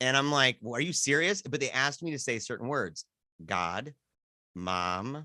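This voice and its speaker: A man with a strong Michigan accent speaks at a moderate pace in a medium pitch, his bright, sharp tone swinging very widely in pitch, recorded very cleanly with a silent background and a dry, close sound with no echo. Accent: strong Midwestern (Michigan-type). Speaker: podcast guest. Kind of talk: casual chat.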